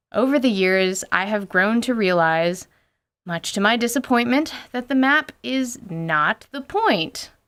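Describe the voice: Over a silent background in a very clean recording, a woman at medium pitch speaks at a fairly slow pace with lively intonation and a fairly bright, clear, smooth tone.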